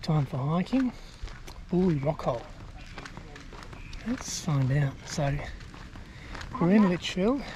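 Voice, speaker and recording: Someone speaks very slowly with an Australian accent. There is noticeable background noise. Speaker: travel vlogger. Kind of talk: casual vlog narration outdoors. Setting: outdoors. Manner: casual, conversational.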